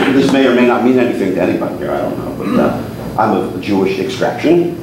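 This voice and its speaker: With an American accent, a man speaks at a fairly low pitch with very wide pitch swings, amid audible room echo and noticeable background noise. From Newark, New Jersey. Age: 60s. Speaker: magician and talent representative. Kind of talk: after-dinner talk with humor. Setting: club meeting with live audience. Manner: chatty with frequent fillers and repetitions. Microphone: speaking without the microphone.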